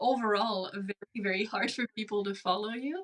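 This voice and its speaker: A woman with a French Canadian accent and a medium pitch speaks in a dry, close sound with no echo. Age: 30s. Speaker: speech-language pathologist. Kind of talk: interview. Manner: deliberately slowed, controlled.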